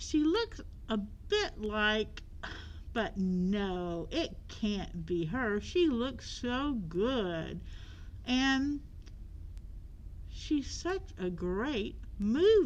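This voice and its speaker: Against clear background noise, a woman uses a put-on character voice, fairly high in pitch, speaking very slowly with long, frequent pauses. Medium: read story. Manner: sneering.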